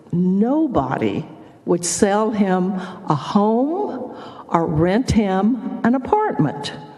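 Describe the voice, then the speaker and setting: With an American accent, a woman at medium pitch speaks very slowly with very wide pitch swings, amid audible room echo and noticeable background noise. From Texas, Houston. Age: 80s+. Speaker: former state legislator. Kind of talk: testimony. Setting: senate committee hearing.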